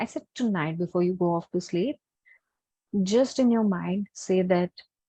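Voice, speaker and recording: Against a quiet background, a soft-spoken woman with an Indian accent talks in a fairly low, dark, mellow voice at a moderate pace with ordinary pitch variation. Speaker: healer and workshop teacher. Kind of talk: webinar Q&A and guided meditation intro. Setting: online webinar.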